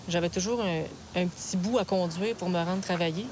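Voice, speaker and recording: A woman speaks at a very fast pace with a medium pitch and fairly even intonation. Noticeable background noise sits behind her. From Quebec, Lac-Saint-Jean then Quebec City. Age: 30s. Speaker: truck driver. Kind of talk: documentary interview.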